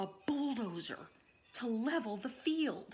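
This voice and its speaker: A woman adopts a put-on character voice, high in pitch, moving at a fairly slow pace. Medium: read story. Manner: terse, grunting.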